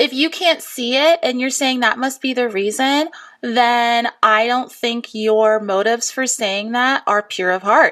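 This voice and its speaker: The delivery is animated, with ordinary pitch variation and hardly any pauses. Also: woman, high pitch for a woman, fairly slow pace, very clean recording, silent background. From US East Coast. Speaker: podcast co-host. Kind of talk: casual chat.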